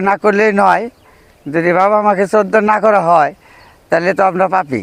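This man's voice sits high in pitch, with fairly even intonation. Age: 50s. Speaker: interviewee on filial duty. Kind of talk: informal religious advice.

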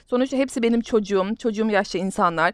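Lively intonation marks this woman's voice, recorded with a dry, close sound and no echo. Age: 30s. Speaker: gaming YouTuber. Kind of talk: gameplay commentary. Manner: halting.

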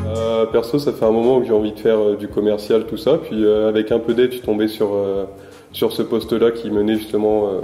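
A man speaks at a fairly low pitch and a moderate pace. Room echo is audible. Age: 20s. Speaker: sports club communications trainee; guest. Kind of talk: interview. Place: home room.

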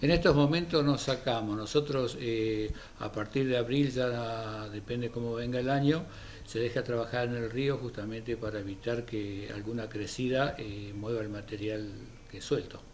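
The delivery comes at a moderate pace with fairly even intonation. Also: man, medium pitch for a man.

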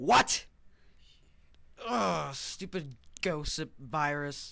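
A woman speaks very slowly in a put-on character voice with vocal fry and a low pitch. Her intonation is lively and her tone fairly bright.

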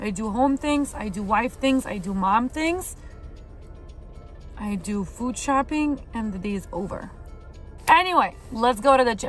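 In a dry recording with no echo and faint music in the background, a woman with a high voice talks fairly slowly, leaving long, frequent pauses. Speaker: vlogger. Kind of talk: casual vlog chat. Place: car. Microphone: phone near.

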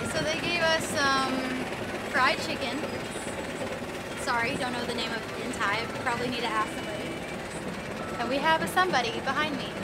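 Amid loud background noise, a woman talks fairly quickly with ordinary pitch variation. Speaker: travel vlogger. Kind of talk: casual vlog chat. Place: boat. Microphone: phone near.

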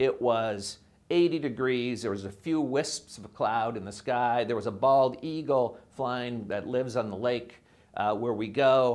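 The pace is fairly slow. This man's pitch shows ordinary variation. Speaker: preacher, professor. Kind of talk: sermon. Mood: warm storytelling. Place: studio. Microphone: lapel.

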